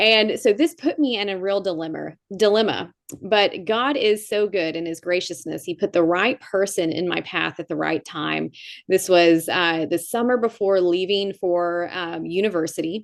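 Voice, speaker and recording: Moderate pace and medium pitch from a woman with an American accent, ordinary pitch variation and a quiet background. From US South (Tennessee, Georgia). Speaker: climate scientist and pastor. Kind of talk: conference talk. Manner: conversational with fillers.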